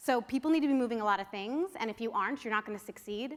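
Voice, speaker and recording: A woman talks at a very fast pace with lively intonation. Her pitch is fairly high. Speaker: marketing panelist. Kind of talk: conference presentation.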